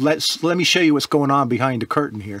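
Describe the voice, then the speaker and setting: A man speaks with ordinary pitch variation. The sound is dry, with no echo. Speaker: religious teacher co-host. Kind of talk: interview conversation.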